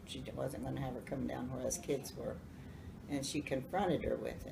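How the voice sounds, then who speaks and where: A woman speaks in an Appalachian accent. Room echo is audible. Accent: Southern US, Appalachian. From US South, North Carolina. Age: 70s. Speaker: grandmother telling life stories. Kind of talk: storytelling to family. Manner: halting.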